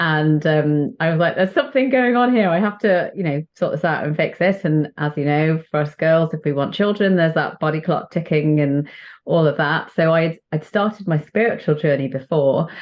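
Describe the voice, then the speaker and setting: This woman talks at a moderate pace with a fairly low pitch and a British accent. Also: ordinary pitch variation. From northern England, Chester. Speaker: doctor, children's author and spiritual coach. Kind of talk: podcast interview.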